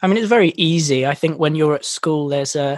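A man with an English accent talks at a very fast pace and fairly high pitch. The pitch varies in an ordinary way, and the sound is dry and close with no echo. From English countryside. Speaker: podcast host, songwriter. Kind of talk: casual chat. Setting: remote call.

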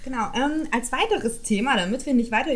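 At a moderate pace, a woman talks in an ordinary speaking voice with ordinary pitch variation. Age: 20s. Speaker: podcast co-host. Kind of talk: casual chat.

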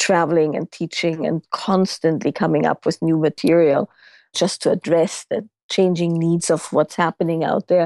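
Speaking at a moderate pace in a monotone, flat intonation, a woman with a German accent has a fairly low pitch, with a dry, close sound, no echo and a quiet background. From Austria. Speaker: intimacy and relationship teacher. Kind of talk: interview.

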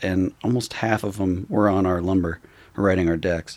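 Using a plain, everyday voice, a man with an American accent speaks at a moderate pace with fairly even intonation. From Utah. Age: 30s. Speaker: skateboard maker. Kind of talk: casual chat.

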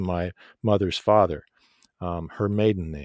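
A man with an American accent speaks at a moderate pace in a very deep, low voice with ordinary pitch variation. The recording is very clean and dry, close-miked with no echo and a silent background. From United States. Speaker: actor. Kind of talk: interview.

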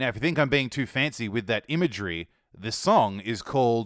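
A man's voice at medium pitch with very wide pitch swings. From Australia. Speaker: music podcast host. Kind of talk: scripted music review podcast. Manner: upbeat, casual, chatty.

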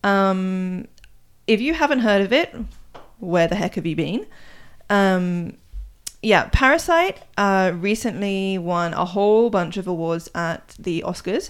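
A woman with an English accent speaks at a medium pitch with ordinary pitch variation, at a fairly slow pace. Her long, frequent pauses sit on a very clean recording with a silent background. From England. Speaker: podcast co-host, Korea blogger. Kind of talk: casual chat.

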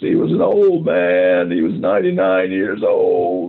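Using a put-on character voice, a man speaks at a very slow pace with very even loudness.

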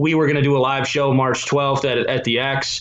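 His voice fairly high in pitch, a man talks at a moderate pace. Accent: Upper Midwest. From southern Minnesota. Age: 30s. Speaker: sports radio producer. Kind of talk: casual chat. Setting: remote call from his basement.

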